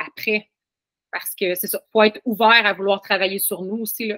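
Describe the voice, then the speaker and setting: A woman with a Quebec accent. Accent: Québécois. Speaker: family constellation practitioner. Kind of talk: podcast interview.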